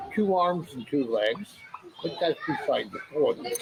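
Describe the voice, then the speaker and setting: A man with an American accent, high-pitched and lively in intonation, at a fairly slow pace amid noticeable background noise. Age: 70s. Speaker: retired expat. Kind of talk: interview. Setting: outdoors.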